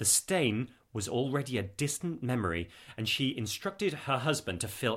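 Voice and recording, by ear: Here is a natural voice reading aloud. The intonation is lively.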